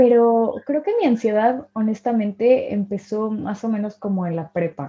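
Somewhat breathy, a woman with a fairly high pitch talks at a fairly slow pace, with ordinary pitch variation and hardly any pauses. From Mexico. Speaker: podcast co-host. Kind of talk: casual chat.

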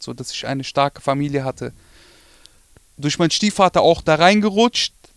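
An unremarkable speaking voice belongs to this man, heard in a dry, close sound with no echo. He keeps a moderate pace and ordinary pitch variation. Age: 20s. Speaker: rapper. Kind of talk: interview. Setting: studio.

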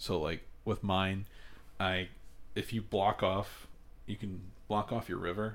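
A man with an ordinary speaking voice talks at a fairly low pitch and a fairly slow pace. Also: very clean recording, silent background. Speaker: podcast co-host. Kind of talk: casual chat.

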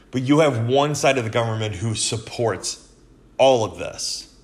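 Somewhat breathy and fairly slow, a man speaks in an American accent at a medium pitch with ordinary pitch variation. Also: long, frequent pauses. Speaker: podcast host. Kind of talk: angry political rant, hammering the same points with raised, indignant emphasis. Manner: indignant, emphatic, heated; repetitive, filler-heavy.

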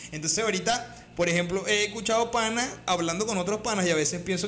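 With a Venezuelan accent, a man talks very fast in a high voice with ordinary pitch variation. Room echo is audible, and there is noticeable background noise. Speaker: comedy podcast co-host. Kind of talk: casual chat.

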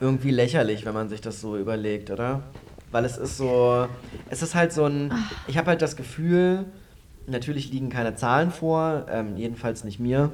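The speech proceeds at a moderate pace against noticeable background noise. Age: 30s. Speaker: podcast co-host, student. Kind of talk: casual chat.

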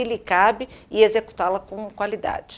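This woman's voice sits at a fairly high pitch and shows ordinary pitch variation. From Rio de Janeiro, Brazil. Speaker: business executive and board member. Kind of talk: interview.

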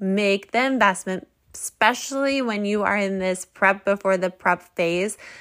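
A woman with an unremarkable speaking voice talks at medium pitch with ordinary pitch variation on a very clean recording with a silent background. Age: 30s. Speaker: fitness podcast host and bodybuilding competitor. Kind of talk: solo podcast talk. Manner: casual, chatty with fillers.

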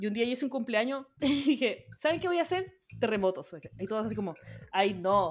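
Speaking fairly quickly in a Chilean accent, a woman uses a fairly high voice with very wide pitch swings. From rural Chile. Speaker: podcast host. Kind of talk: casual chat.

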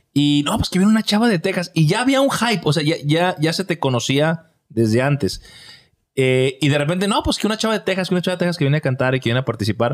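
A man's fairly high voice, very fast, with very wide pitch swings and very even loudness. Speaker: podcast host. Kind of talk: casual chat.

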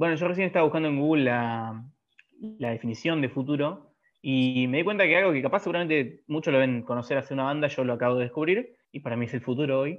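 A man with a Rioplatense accent talks at a very fast pace with ordinary pitch variation. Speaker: podcast co-host. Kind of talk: casual chat. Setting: in-person studio recording.

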